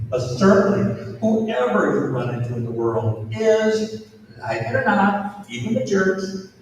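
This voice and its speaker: The voice makes very wide pitch swings. Audible room echo and noticeable background noise fill the recording. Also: man. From Minnesota. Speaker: pastor. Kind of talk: talk to students.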